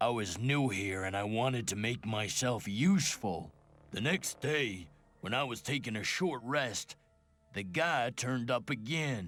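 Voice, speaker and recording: Using a rumbling, put-on character voice, a man talks at a medium pitch and moderate pace with lively intonation. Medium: video game. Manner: grumbling, resentful.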